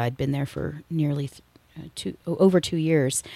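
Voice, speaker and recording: With an American accent, the dark, mellow tone carries fairly even intonation in a dry, close sound with no echo. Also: woman. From US West (Central Valley, California). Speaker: land trust executive director. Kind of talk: casual chat. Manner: halting.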